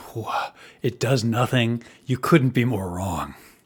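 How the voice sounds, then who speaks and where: Doing a raspy put-on character voice at medium pitch, a man speaks at a fairly slow pace with ordinary pitch variation on a very clean recording with a silent background. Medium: actual play. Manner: fidgety, desperate.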